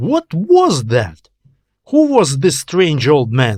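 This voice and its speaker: Fairly high in pitch, a man speaks at a fairly slow pace with a strong non-native accent. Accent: thick non-native. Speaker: author and audiobook narrator. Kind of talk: audiobook fiction narration.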